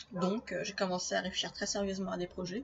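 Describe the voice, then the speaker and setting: A woman speaks at a medium pitch and a moderate pace. Noticeable background noise runs behind her. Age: 20s. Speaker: podcaster and aspiring novelist. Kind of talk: solo podcast monologue.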